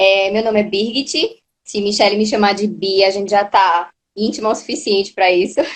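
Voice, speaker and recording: A woman with an unremarkable speaking voice talks at a moderate pace in a medium pitch with ordinary pitch variation. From Brazil, Recife, Pernambuco. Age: 20s. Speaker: course student, patient. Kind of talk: interview testimony.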